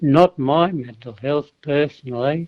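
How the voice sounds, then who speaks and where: Very slow male speech, pitched fairly high, its pitch shifting in an ordinary way. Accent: Australian. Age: 80s+. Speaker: war veteran. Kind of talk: radio interview answer.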